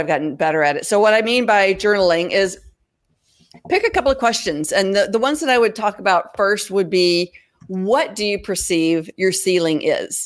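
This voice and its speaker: With a plain, everyday voice, a woman of medium pitch talks at a moderate pace and uses lively intonation. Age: 50s. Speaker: freelancer and nonprofit founder. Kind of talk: interview. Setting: video livestream.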